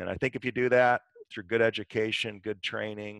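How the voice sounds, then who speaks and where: At a fairly low pitch, a man speaks against a quiet background with a dry sound and no echo. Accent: Midwestern US. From Michigan. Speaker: dentist and dental educator; guest. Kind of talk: interview. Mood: calm, encouraging. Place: home room. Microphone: headset.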